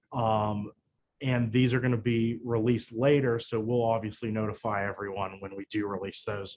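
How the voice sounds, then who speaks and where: His voice sits fairly low for a man. The speaker's intonation is fairly even. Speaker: marketing manager. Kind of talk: webinar presentation. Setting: online webinar. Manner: fast.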